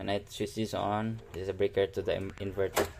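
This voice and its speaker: With music in the background, a man speaks in a fairly low, flat monotone. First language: not English. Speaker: DIY hobbyist YouTuber. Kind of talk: tutorial. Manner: halting.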